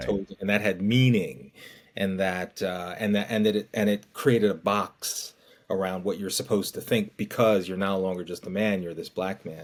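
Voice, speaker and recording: With an ordinary speaking voice, a man talks at a moderate pace, fairly low in pitch and with fairly even intonation. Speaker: podcast host. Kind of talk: interview conversation.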